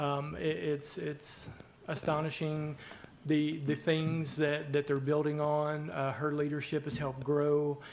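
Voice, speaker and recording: A man speaks with a Southern US accent at a fairly slow pace. His pitch is fairly high, and his intonation stays flat and monotone. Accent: Southern twang. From southeast Arkansas. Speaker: hospital executive. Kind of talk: community presentation. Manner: halting, many fillers.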